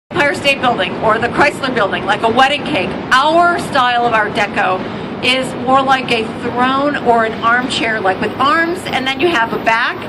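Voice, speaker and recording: With a Chicago accent, a woman projects a raised, high voice at a fairly slow pace over noticeable background noise. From Chicago, US Midwest. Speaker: architecture tour guide. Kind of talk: guided tour commentary. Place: boat.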